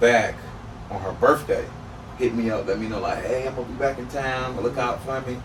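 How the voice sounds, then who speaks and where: With noticeable background noise and audible room echo, a man with an American accent speaks at medium pitch and a moderate pace in monotone, flat intonation. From Turks and Caicos and Florida. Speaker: podcast guest. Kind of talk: casual chat.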